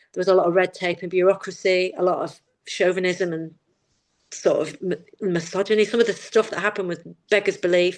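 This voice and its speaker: A woman in a Manchester accent speaks at medium pitch, with big swings in loudness. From northern England, Manchester. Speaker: campaign founder and fashion lecturer. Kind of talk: casual chat. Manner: animated.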